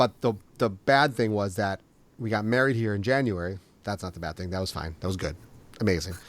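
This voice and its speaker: The recording is very clean, with a silent background. A man speaks at a fairly low pitch with a slight Minnesota accent. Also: ordinary pitch variation. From Minnesota, US. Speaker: podcast host. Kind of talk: casual interview chat.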